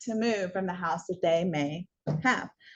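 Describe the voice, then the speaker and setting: A plain, everyday voice: a woman with an American accent, medium pitch, ordinary pitch variation and a moderate pace. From US Pacific Northwest (Washington). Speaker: real estate course instructor. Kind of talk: continuing education lecture. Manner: casual with many fillers.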